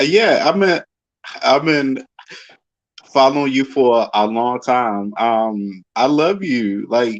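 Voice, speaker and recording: Speaking at a very slow pace, a man with a Baltimore accent uses a medium pitch and ordinary pitch variation. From Baltimore, Maryland. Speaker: fan guest. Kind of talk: casual chat.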